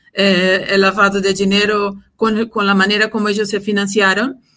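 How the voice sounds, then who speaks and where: A woman's medium-pitched voice, bright and sharp in tone, with a Portuguese accent. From Brazil. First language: Portuguese (speaking Spanish). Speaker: compliance executive. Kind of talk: interview.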